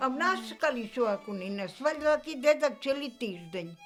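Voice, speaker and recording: A woman speaks at a fairly slow pace in a Polesian accent, with music in the background. Her pitch swings very widely. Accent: East Polesian dialect. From Chernihiv region, Ukraine (flooded village by the Dnieper). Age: old. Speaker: village elder, former collective farm worker. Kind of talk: interview answer.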